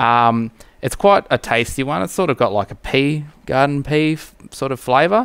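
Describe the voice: A man speaks at medium pitch and a moderate pace. His tone is fairly bright, clear and smooth.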